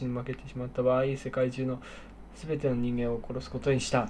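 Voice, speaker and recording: A man's medium-pitched, somewhat breathy voice in a monotone, flat intonation. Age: 30s. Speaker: podcast co-host. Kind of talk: casual chat.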